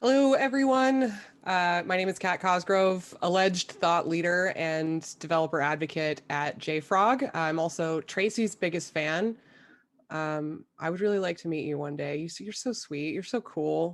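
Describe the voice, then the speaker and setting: On a very clean recording with a silent background, a woman with a normal speaking voice talks at a moderate pace, her fairly low pitch carried by lively intonation. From US South, Memphis, Tennessee. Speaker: developer advocate. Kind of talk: casual chat.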